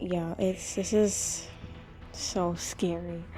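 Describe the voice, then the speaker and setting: A woman with an American accent at a very slow pace, music playing in the background. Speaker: vlogger. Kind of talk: casual vlog.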